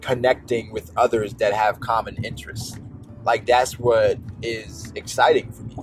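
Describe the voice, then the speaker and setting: Faint music plays in the background as a man talks at a fairly slow pace, recorded dry with no echo. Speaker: YouTuber. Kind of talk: casual vlog chat. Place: car.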